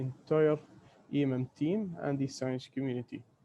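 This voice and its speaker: Soft-spoken and with a dark, mellow tone, a man speaks at a moderate pace in a fairly high pitch with ordinary pitch variation. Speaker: space mission data scientist. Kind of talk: webinar presentation. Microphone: too quiet at first.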